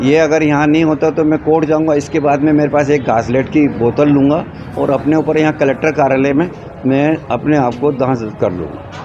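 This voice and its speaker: A man talks at a moderate tempo in a fairly high register, his intonation fairly even, with background noise clearly present. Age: 70s. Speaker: complainant at public hearing. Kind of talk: interview testimony.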